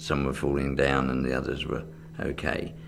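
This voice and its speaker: A man's voice with music in the background. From England. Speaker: magician. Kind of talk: oral history interview answer.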